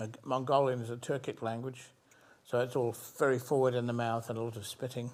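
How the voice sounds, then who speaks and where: Very fast, monotone, flat speech from a man at medium pitch with a British accent. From England, London. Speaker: physician scientist. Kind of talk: interview. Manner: halting, with many repeated words.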